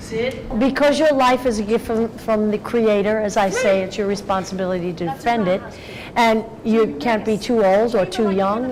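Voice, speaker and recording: A woman talks at a moderate pace in a fairly high pitch, with ordinary pitch variation. Noticeable background noise can be heard. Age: 70s. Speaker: tour guide and karate teacher. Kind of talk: interview answer.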